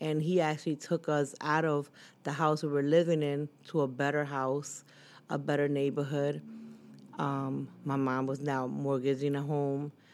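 In an American accent, a woman with a very deep, low pitch speaks at a moderate pace. Her intonation is monotone and flat, on a very clean recording with a silent background. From Philadelphia area, US. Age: 40s. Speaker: guest sharing life story. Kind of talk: personal testimony in interview.

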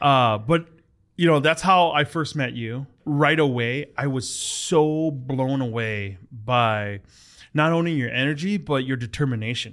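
A man talks at a medium pitch. His pace is fairly slow, with ordinary pitch variation. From US Midwest, Hmong American family. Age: 30s. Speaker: podcast host. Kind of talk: casual chat. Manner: halting.

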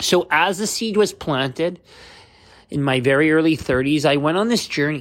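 A man with a Canadian accent and an unremarkable speaking voice talks at a moderate pace, fairly high in pitch, with ordinary pitch variation. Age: 30s. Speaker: podcast host. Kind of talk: personal monologue.

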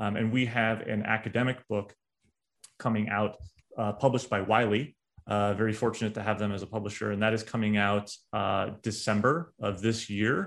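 Speaking at a moderate pace, a man with a fairly low pitch keeps his intonation fairly even. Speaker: cybersecurity consultant. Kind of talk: casual chat. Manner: halting.

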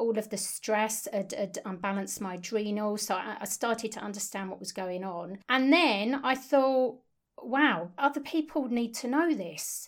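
A woman's plain, everyday voice, fairly high in pitch, with lively intonation, big swings in loudness, hardly any pauses and a moderate pace, on a very clean recording with a silent background. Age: 50s. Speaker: nutritional therapist, podcast co-host. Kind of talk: casual chat, personal story.

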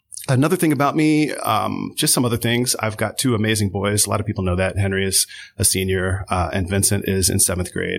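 An unremarkable speaking voice, a man's, runs at a fairly quick pace with hardly any pauses, a fairly low pitch, ordinary pitch variation and very even loudness on a very clean recording with a silent background. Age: 40s. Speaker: theater instructor. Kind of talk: casual chat.

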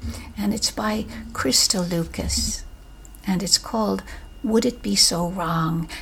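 Over noticeable background noise, a woman speaks at a fairly slow pace in a soothing, gentle tone. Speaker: podcast host and poetry reader. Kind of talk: poem reading. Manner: gentle, warm; slow, soothing, intimate.

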